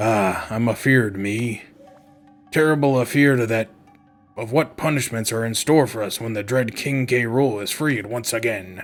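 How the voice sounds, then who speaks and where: A man puts on a strained character voice at medium pitch, speaking at a moderate pace with faint music in the background. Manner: fearful, anxious.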